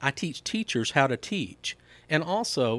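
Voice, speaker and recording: A man speaks at a moderate pace, the recording very clean and the background silent. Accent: Mississippi. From Mississippi, Laurel. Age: 50s. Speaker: school board candidate, educator. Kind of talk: interview. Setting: studio.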